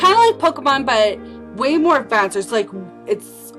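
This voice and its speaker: Music plays behind a woman as she talks. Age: 20s. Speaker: crafter, craft vlogger. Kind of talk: casual talk to camera.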